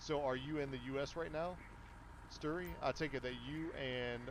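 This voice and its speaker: Audible room echo surrounds a man's voice. He speaks at a medium pitch with ordinary pitch variation. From Kentucky. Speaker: gaming livestreamer. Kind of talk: live gameplay commentary. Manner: casual, conversational.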